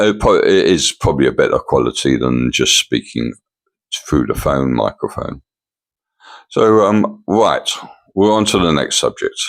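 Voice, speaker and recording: A man with an English accent at a moderate pace, with long, frequent pauses, very even loudness and a dry, close sound with no echo. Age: 70s. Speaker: vlogger. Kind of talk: casual vlog monologue. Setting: at home in condo. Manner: halting.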